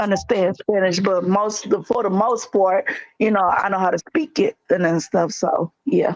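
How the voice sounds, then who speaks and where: A woman with a St. Louis accent talks at medium pitch and a moderate pace, with ordinary pitch variation. Her loudness stays very even, and the sound is dry and close with no echo. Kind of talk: casual chat.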